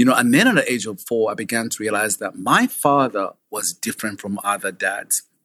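In a Ugandan accent, a man speaks with a bright, sharp tone and lively intonation, the sound dry and close with no echo. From Uganda (Kabale, southwest). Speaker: foster parent. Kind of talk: interview, personal life story.

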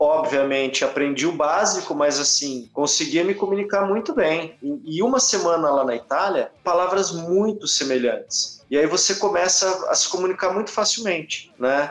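With noticeable background noise, a man speaks at a moderate pace in a high pitch, his intonation lively and his loudness very even. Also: hardly any pauses. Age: 40s. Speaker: rock musician. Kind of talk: casual interview chat.

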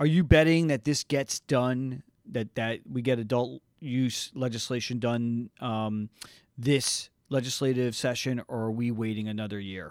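A man with a plain, everyday voice at a medium pitch speaks fairly slowly in an American accent, with ordinary pitch variation and a dry, close sound with no echo. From New Jersey. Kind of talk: interview.

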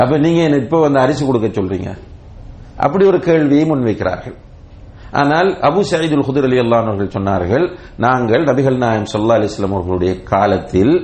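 A man's voice swings very widely in pitch while its loudness stays very even. Room echo is audible. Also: medium pitch for a man. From Sri Lanka. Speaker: Islamic teacher. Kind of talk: lecture.

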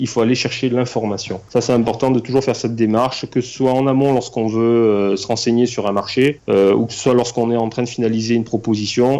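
Fairly quick, monotone, flat speech from a man at a medium pitch. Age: 40s. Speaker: banker and property investor. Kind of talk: interview. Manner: hesitant, many fillers.

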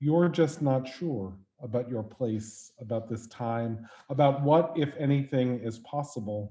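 This man has an American accent and a medium pitch. His tone is dark and mellow, and he speaks at a very slow pace. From New York. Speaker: host. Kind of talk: casual conversational interview. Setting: video call.

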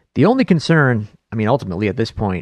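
A man with a Buffalo accent speaks at a medium pitch and a fairly quick pace, with a dry, close sound and no echo. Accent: Buffalo, western New York. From Buffalo, New York. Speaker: podcast host. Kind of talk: casual chat.

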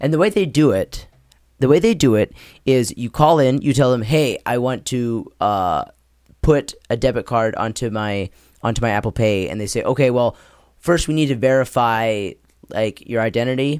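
The intonation is lively, moving along at a moderate pace in an ordinary speaking voice. The recording is very clean, with a silent background. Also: man. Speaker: podcast host. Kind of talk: casual chat.

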